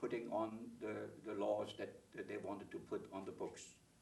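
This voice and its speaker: The room echo is audible. The pace is moderate. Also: man. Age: 80s+. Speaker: author. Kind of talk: interview. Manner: halting.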